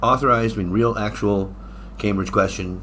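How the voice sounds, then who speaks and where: A man with an American accent talks with vocal fry and a bright, sharp tone. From United States. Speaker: English exam teacher. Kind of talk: tutorial. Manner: casual, halting with fillers.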